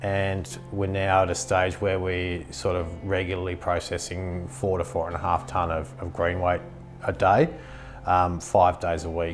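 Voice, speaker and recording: A man with a very deep, low pitch speaks at a fairly slow pace with ordinary pitch variation as faint music plays in the background. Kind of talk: interview answer. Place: office. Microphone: lapel.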